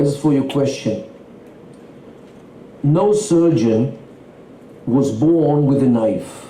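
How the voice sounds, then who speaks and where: Very slowly and with long, frequent pauses, a fairly high-pitched man speaks at very even loudness and with ordinary pitch variation, over noticeable background noise and audible room echo. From Israel, Tel Aviv. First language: Yiddish. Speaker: Middle East expert. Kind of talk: interview. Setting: stage with audience.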